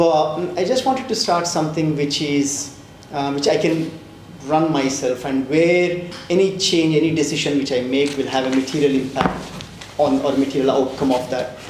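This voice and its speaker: Amid noticeable background noise and audible room echo, a man with a fairly high pitch speaks at a moderate pace with fairly even intonation. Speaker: fintech founder and CEO. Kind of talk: panel interview. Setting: stage with live audience. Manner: loud; halting, many fillers. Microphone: mic problems at start.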